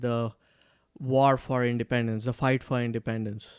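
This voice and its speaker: A man with a Marathi accent and medium pitch, at a moderate pace and with fairly even intonation, in a dry, close sound with no echo and a very clean recording against a silent background. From India, Maharashtra. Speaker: comedian. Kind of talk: casual chat.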